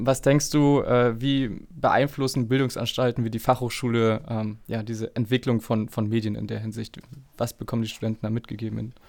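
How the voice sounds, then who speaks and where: Speaking at a moderate pace, a man has an ordinary speaking voice. His pitch is medium and his intonation fairly even. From northeastern Germany, Schwerin. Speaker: podcast host. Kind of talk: interview.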